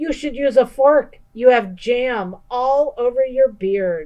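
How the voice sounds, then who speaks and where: A woman's high, put-on character voice at a fairly slow pace, with ordinary pitch variation. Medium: read story. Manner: warm, chatty, hospitable.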